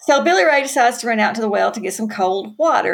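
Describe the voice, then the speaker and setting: A woman with a Southern US accent. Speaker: author. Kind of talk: casual interview chat.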